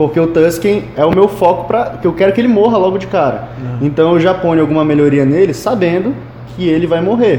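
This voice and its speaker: With lively intonation and a fairly quick pace, a man speaks at a high pitch amid noticeable background noise and audible room echo. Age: 20s. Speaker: card game player and game store worker. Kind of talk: casual chat. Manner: halting, repeats words.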